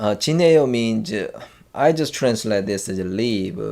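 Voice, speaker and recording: A man with a Korean accent speaks with lively intonation, and audible room echo surrounds his voice. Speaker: language teacher. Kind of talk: tutorial. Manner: halting, many fillers and restarts.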